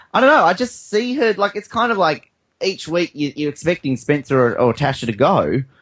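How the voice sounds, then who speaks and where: Using very wide pitch swings, a man talks at a fairly quick pace with an Australian accent. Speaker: podcast host, guest panelist. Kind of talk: casual chat.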